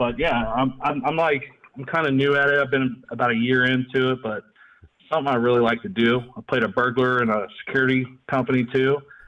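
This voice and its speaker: An ordinary speaking voice goes at a fairly quick pace. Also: man, medium pitch for a man, fairly even intonation. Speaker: caller. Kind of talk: casual chat.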